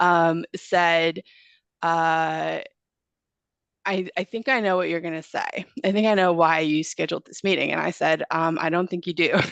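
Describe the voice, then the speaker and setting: At a moderate pace, a woman with a fairly low pitch speaks in fairly even intonation, the sound dry and close with no echo. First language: not English. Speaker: goat farmer. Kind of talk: casual interview chat. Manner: hesitant, many fillers.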